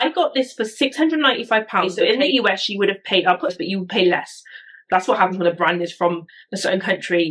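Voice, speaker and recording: A woman with a British accent, her voice at a medium pitch, lively intonation and a very fast pace. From UK. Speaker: YouTuber, bag reviewer. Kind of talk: product review vlog. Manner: casual, chatty.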